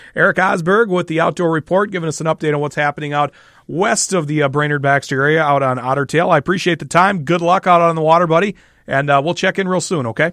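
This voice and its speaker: In a very clean, dry, close recording with a silent background and no echo, a man with an American accent talks very fast. His pitch is fairly high, with ordinary pitch variation. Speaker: radio host. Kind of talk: radio interview show. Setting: studio.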